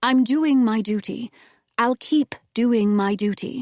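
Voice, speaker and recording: A woman's put-on character voice, fairly high-pitched with ordinary pitch variation, at a fairly slow pace in a dry, close sound with no echo. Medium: read story.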